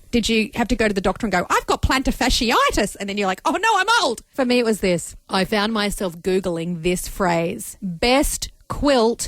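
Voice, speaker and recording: A woman speaks at a moderate pace in an animated tone, her pitch medium, with noticeable background noise behind her. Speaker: radio host. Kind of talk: casual chat.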